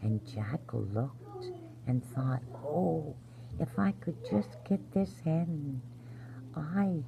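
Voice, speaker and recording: A woman's very deep, low-pitched voice with lively intonation at a very slow pace, over noticeable background noise. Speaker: grandmother-style bedtime storyteller. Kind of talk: sleep story. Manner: soft-spoken, gentle.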